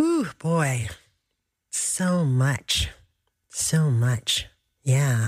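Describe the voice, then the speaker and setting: A woman speaks at a very deep, low pitch in a somewhat breathy voice. The recording is very clean, with a silent background. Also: ordinary pitch variation. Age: 60s. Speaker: radio host. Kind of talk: radio interview.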